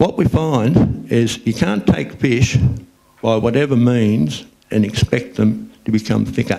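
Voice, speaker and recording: Someone with an Australian accent talks at a fairly slow pace, using lively intonation while keeping a very even loudness. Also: man, medium pitch for a man. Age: 60s. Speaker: recreational fishing spokesperson. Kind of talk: public talk.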